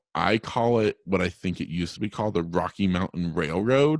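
With an unremarkable speaking voice, this man speaks at a fairly low pitch and moderate pace, using ordinary pitch variation, on a very clean recording with a silent background. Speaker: travel agent, blind traveler. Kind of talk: interview, casual conversation.

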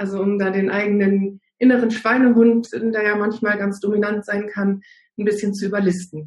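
A woman speaks at a moderate pace in a medium pitch. Her voice is somewhat breathy and her intonation monotone and flat. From northern Germany. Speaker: naturopath and fasting coach. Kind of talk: casual interview. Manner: frequent hesitations (ähm).

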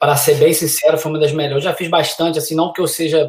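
A somewhat breathy man speaks in a monotone, flat intonation. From Brazil, Niterói (Rio de Janeiro). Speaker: college soccer coach. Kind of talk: casual chat.

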